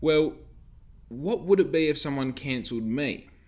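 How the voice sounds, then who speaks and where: Speaking at a moderate pace, a man with an Australian accent uses a fairly high pitch and lively intonation. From Western Australia. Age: 20s. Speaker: podcast host. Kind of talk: casual solo monologue. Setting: home recording with dog nearby. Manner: rambling with fillers.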